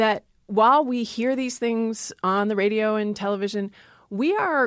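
A woman with an American accent speaks fairly slowly and fairly high, with lively intonation and an ordinary speaking voice. The sound is dry and close with no echo, in a very clean recording against a silent background. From Maryland. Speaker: linguistics professor. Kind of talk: casual interview.

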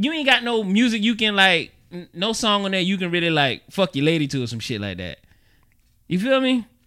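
A man's raised, projected voice, high and bright with a sharp tone, at a fairly quick pace with very wide pitch swings. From New York. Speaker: podcast co-host. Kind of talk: casual chat.

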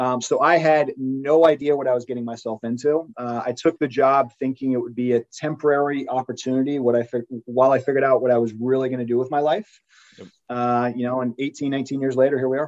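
A man with a plain, everyday voice talks fairly quickly at a medium pitch with fairly even intonation, in a dry, close sound with no echo. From England-born, raised in US. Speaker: sports business executive. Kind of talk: interview.

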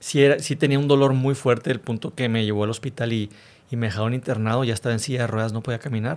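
Speaking at a very fast pace, a man with a medium pitch keeps his intonation fairly even on a very clean recording with a silent background. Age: 30s. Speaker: motivational speaker and author, cancer survivor. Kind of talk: interview testimony.

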